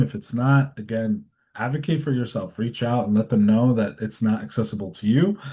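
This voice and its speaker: Over a quiet background, a man speaks at medium pitch in a somewhat breathy voice with a dark, mellow tone and ordinary pitch variation. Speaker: community organizer. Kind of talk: advocacy training presentation. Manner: fast.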